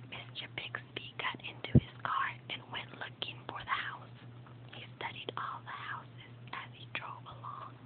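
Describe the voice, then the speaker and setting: Whispering at a fairly slow pace, a woman can be heard through noticeable background noise. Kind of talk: whispered ASMR reading of a children's book. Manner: whispered.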